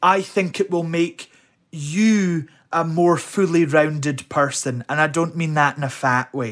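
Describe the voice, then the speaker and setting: With a west of Scotland accent, a man talks at a fairly slow pace in a fairly high pitch with ordinary pitch variation, on a very clean recording with a silent background. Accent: Scottish (west of Scotland). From Scotland, Helensburgh near Glasgow. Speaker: drag performer. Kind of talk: casual interview chat.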